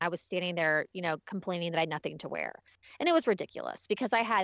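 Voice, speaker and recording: Pitched fairly low with ordinary pitch variation, a woman talks in a plain, everyday voice. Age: 40s. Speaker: podcast host and beauty blogger. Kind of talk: interview.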